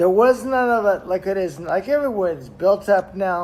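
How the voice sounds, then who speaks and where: A man with an American accent, high-pitched, with lively intonation. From US West Coast, Los Angeles. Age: 60s. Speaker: travel vlogger. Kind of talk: casual vlog monologue. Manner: animated; halting.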